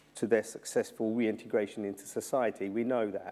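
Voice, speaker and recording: A man speaks in a South London accent at a medium pitch. His tone is dark and mellow. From South London, England. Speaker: journalist and former prisoner. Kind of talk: keynote talk. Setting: university symposium. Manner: repetitive, halting in places.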